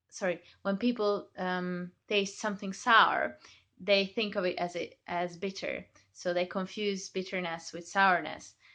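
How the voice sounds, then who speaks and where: A woman speaks at a fairly slow pace with a Hungarian accent and a bright, sharp tone. Her intonation is fairly even, and the background is quiet. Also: medium pitch for a woman. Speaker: chocolate maker. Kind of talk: tutorial. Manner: hesitant, many fillers.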